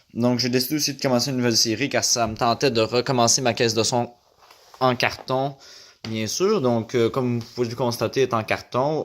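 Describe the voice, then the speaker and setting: This man speaks with a Quebec accent at a fairly quick pace. His pitch is medium and his intonation fairly even. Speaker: YouTuber, DIY audio hobbyist. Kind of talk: casual video intro. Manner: halting, many fillers.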